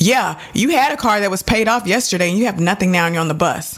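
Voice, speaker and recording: With an American accent, a woman talks at a medium pitch and a fairly quick pace, with hardly any pauses, ordinary pitch variation and noticeable background noise. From Texas, Dallas. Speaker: podcast host. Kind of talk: solo podcast monologue. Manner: chatty.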